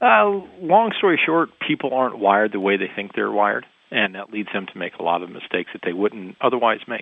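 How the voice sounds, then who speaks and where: A man speaks in an ordinary speaking voice at a fairly quick pace with hardly any pauses. His fairly low pitch shows ordinary pitch variation, with big swings in loudness. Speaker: author. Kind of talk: interview.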